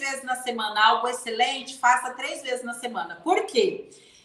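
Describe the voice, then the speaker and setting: A woman's high voice with lively intonation at a moderate pace, over noticeable background noise. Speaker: leadership mentor. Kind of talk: live stream talk.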